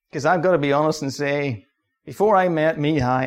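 This man talks at a fairly quick pace. His pitch is fairly high, with ordinary pitch variation. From Northern Ireland, County Antrim. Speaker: mission society worker. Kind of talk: church talk.

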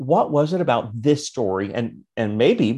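A man with an American accent and a plain, everyday voice speaks at medium pitch and a moderate pace with lively intonation. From US. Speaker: podcast host. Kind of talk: casual interview.

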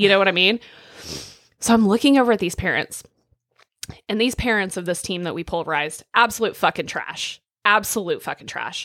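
A woman speaks with a rural Oklahoma accent and a fairly high pitch. The recording is very clean, with a silent background. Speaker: podcast co-host. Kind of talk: casual chat. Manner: casual, frank.

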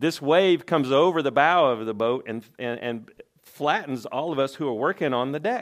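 A man in a Southern US accent, with ordinary pitch variation. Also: fairly high pitch for a man, moderate pace. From Tennessee. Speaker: lay preacher. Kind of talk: sermon. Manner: halting.

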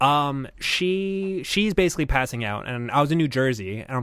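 He speaks in an unremarkable speaking voice at a fairly high pitch. The man's pitch variation is ordinary. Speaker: producer, guest. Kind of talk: casual comedy chat about investing.

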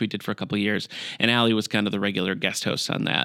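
A man with an Upper Midwest accent at a fairly low pitch and very fast pace, on a very clean recording with a silent background. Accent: Upper Midwest American. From Michigan, US Midwest (Battle Creek). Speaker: library director. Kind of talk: casual chat.

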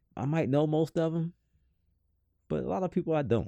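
A man with a Southern US accent speaks at a moderate pace in an animated tone. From US South. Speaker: podcast co-host. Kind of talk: casual chat.

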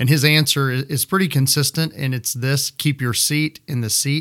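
In a normal speaking voice with an American accent, the speaker keeps a moderate pace and fairly even intonation, recorded with a dry, close sound and no echo. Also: man. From West Texas (Midland). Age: 40s. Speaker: pastor. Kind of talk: casual chat.

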